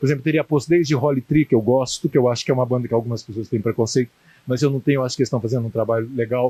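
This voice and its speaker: This man has a medium-pitched voice with a dark, mellow tone. The sound is dry and close, with no echo. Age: 60s. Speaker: writer and punk scene figure interviewed. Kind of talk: interview. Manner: halting, many repetitions.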